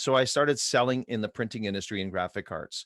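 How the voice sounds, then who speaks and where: A man delivers his words very fast. His voice sits in a middle range. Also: dry, close sound with no echo. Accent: Montreal. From Quebec, Montreal. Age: 60s. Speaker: hockey coach and mindset trainer. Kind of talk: podcast interview. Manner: conversational, some hesitations.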